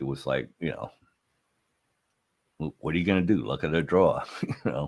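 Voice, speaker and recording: Speaking fairly quickly but with long, frequent pauses, a man uses a very deep, low voice with vocal fry and ordinary pitch variation. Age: 60s. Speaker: podcast host, former adult film performer. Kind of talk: casual chat. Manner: halting.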